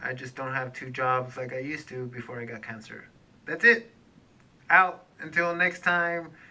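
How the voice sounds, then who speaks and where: The speaker goes at a fairly slow pace with lively intonation. Noticeable background noise runs underneath. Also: man. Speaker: cancer survivor vlogger. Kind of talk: personal video update. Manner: hesitant fillers.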